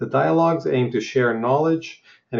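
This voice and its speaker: At a fairly quick pace, a man with a somewhat breathy voice speaks at medium pitch with ordinary pitch variation. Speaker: podcast host. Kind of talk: interview.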